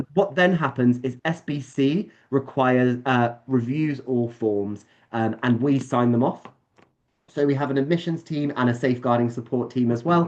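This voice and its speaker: A man with a British accent speaks at a medium pitch with ordinary pitch variation. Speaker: summer camp staff presenting to parents. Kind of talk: online presentation. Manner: fast.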